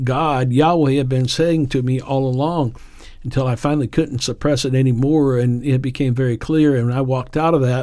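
A man with an American accent and a relaxed tone, at a moderate pace with ordinary pitch variation, on a very clean recording with a silent background. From Appalachia, eastern Kentucky, then Indiana from age ten. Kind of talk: unscripted devotional monologue. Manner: relaxed, conversational with fillers.

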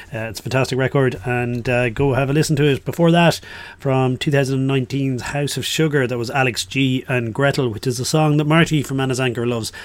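With an Irish accent, a man at medium pitch talks at a fairly quick pace with fairly even intonation and hardly any pauses. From Ireland. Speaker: radio DJ. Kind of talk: radio music show presenting. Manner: casual, hesitant with fillers.

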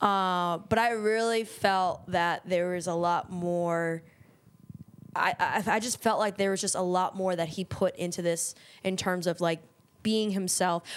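A woman's flat, monotone delivery in an American accent, medium in pitch and fairly slow, on a very clean recording with a silent background. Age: 20s. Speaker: podcast co-host. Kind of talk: casual chat.

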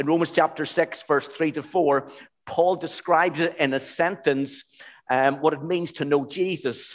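Against a quiet background, a man with an ordinary speaking voice talks at a moderate pace and a fairly high pitch, with fairly even intonation. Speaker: pastor. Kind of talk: sermon. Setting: church.

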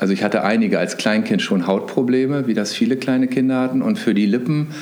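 A man at a fairly quick pace, ordinary pitch variation, with noticeable background noise and audible room echo. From northern Germany, suburb of Hannover. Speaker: marketing executive. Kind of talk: interview.

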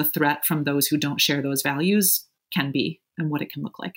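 Very deep and low in pitch, a woman speaks at a fairly slow pace. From US Midwest, Evanston, Illinois. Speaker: progressive organizer and strategist. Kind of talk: interview conversation.

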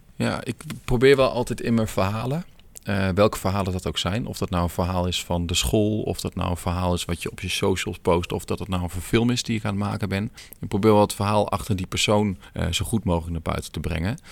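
In a very clean recording with a silent background, a man with a fairly low pitch talks at a fairly quick pace with ordinary pitch variation. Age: 30s. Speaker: teacher and filmmaker. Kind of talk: casual interview. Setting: sports hall. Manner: hesitant, many fillers.

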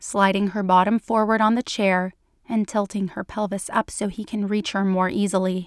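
Someone reads in a natural voice. The intonation stays fairly even throughout.

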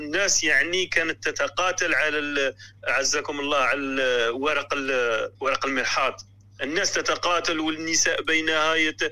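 The speech moves at a fairly slow pace, with very even loudness throughout. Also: man. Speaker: caller, student living in the West. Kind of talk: phone-in call.

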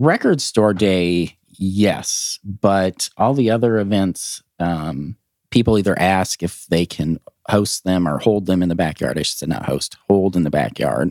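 With an American accent and a very deep, low voice, a man speaks at a fairly slow pace with ordinary pitch variation, in a dry, close sound with no echo and a very clean recording with a silent background. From Montana, US. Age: 30s. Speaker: record store owner. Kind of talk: casual chat.

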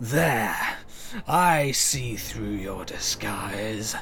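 A man at medium pitch performs a put-on character voice over clear background noise. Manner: menacing, dramatic.

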